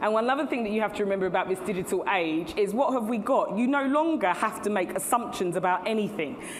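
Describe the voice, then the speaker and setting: A woman's medium-pitched voice with an English accent, very fast with hardly any pauses, lively intonation, very even loudness, audible room echo, and noticeable background noise. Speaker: CEO and keynote speaker. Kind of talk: conference keynote talk. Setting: stage with audience.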